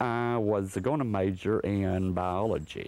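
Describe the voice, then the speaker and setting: Very slow delivery from a man, fairly low in pitch, his pitch varying in an ordinary way. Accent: Alabama. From US South, northwest Alabama. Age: 70s. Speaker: sculptor. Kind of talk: documentary interview.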